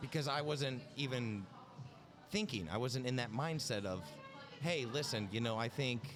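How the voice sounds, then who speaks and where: With audible room echo and noticeable background noise, a man of medium pitch talks at a moderate pace with long, frequent pauses, lively intonation, and very even loudness. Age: 20s. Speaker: outside sales rep, podcast guest. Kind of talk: casual chat.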